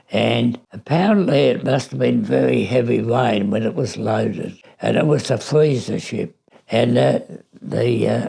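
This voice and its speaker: Fairly slow speech from a man with an Australian accent. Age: 80s+. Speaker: war veteran. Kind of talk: interview answer.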